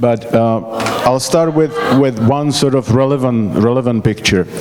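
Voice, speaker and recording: Over noticeable background noise, a man with a Czech accent speaks at a fairly slow pace with fairly even intonation. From Czechoslovakia. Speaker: emigre telling escape story. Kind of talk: public talk. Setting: stage with audience. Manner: halting.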